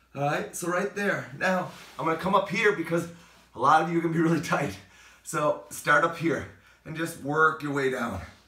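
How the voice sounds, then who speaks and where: A man's fairly high voice, with ordinary pitch variation, comes through noticeable background noise. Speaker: fitness trainer. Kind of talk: exercise tutorial. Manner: fast; animated.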